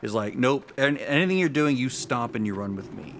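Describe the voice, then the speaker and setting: A man talks with ordinary pitch variation. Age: 60s. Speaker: gaming streamer. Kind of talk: live gameplay commentary. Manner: casual, halting with self-corrections.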